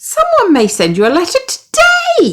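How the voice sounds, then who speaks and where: A woman speaks in a British accent. Her pace is very slow. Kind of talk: children's story read aloud.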